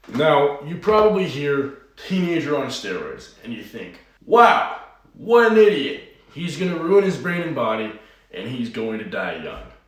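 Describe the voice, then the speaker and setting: A man talks at a moderate pace in a high voice, with very wide pitch swings and big shifts in loudness. Audible room echo and noticeable background noise fill the recording. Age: 20s. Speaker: online fitness coach. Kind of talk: personal vlog monologue.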